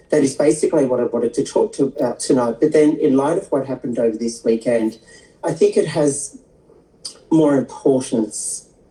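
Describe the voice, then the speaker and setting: This woman's pitch sits very deep and low. She talks in an Australian accent. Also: ordinary pitch variation, moderate pace. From Australia, Sydney eastern suburbs. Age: 60s. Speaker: skin therapist and transgender activist. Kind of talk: interview. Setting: livestream video interview.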